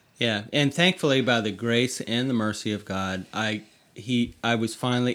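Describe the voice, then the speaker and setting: In a very clean recording with a silent background, a man with an American accent and an unremarkable speaking voice talks at a medium pitch and moderate pace, with ordinary pitch variation. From US South, North Carolina. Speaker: author, podcast guest. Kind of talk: casual chat. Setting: bedroom at home.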